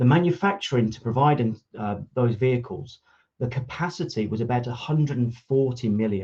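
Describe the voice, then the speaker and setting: A somewhat breathy man's voice, medium in pitch with a dark, mellow tone, ordinary pitch variation and a moderate pace. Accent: slight Brummie. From Birmingham, England. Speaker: automotive industry consultant. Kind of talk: conference talk. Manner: hesitant, frequent fillers and restarts.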